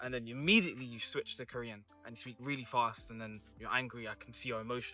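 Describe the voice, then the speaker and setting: Music plays in the background as a man speaks at a very fast pace and medium pitch, with fairly even intonation and big swings in loudness. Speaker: vlogger. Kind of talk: casual chat.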